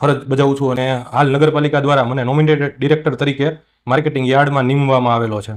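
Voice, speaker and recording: Speaking at a fairly high pitch, a man holds a monotone with flat intonation. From Talaja, Bhavnagar district, Gujarat, India. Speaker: local politician. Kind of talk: interview.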